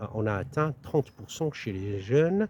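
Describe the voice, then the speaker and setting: At a fairly slow pace, a man speaks in a dark, mellow, somewhat breathy tone with ordinary pitch variation. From northern France, Lille. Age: 60s. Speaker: political candidate. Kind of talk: interview. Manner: halting, frequent hesitations.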